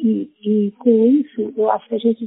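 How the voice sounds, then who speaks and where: Speaking at a medium pitch, a woman goes at a very slow pace. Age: 70s. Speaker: women's association counselor. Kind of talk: testimony.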